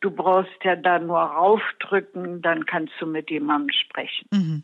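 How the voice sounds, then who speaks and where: Her voice is fairly low in pitch. The woman keeps her intonation fairly even. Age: 80s+. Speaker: elderly project participant. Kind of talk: interview.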